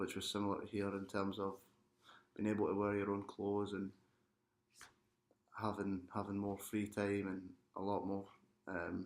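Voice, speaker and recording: A man's fairly low, monotone voice, flat in intonation, at a moderate pace with long, frequent pauses. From Scotland, Glasgow. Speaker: international student athlete. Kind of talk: interview testimony.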